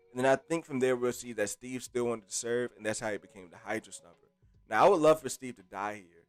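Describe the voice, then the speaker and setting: Animated in tone, a man speaks very fast with a dry, close sound and no echo as music plays in the background. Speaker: livestream host. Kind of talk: casual livestream chat. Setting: live stream. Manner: animated, casual.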